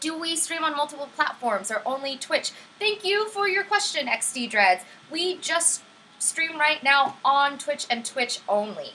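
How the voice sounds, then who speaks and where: A woman's high-pitched, raised, projected voice with an upbeat tone, very wide pitch swings and a fairly slow pace. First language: Vietnamese. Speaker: livestream STEM teacher. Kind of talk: live-streamed lesson with chat. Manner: friendly, upbeat.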